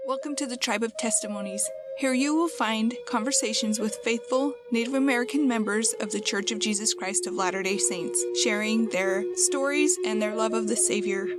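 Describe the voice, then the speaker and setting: Music plays in the background as a woman speaks at a moderate pace with hardly any pauses. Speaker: podcast host. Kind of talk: podcast introduction.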